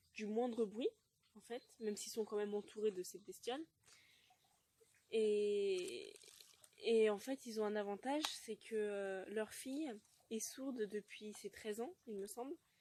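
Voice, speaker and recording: Long, frequent pauses break up the very slow speech, delivered in a dark, mellow tone with ordinary pitch variation. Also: woman, fairly high pitch for a woman. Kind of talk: casual talk to camera. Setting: outdoors. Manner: hesitant, some stuttering.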